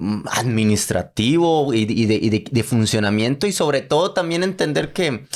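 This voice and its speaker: Very wide pitch swings from a man with a Costa Rican accent, on a very clean recording with a silent background. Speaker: podcast host. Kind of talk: podcast outro.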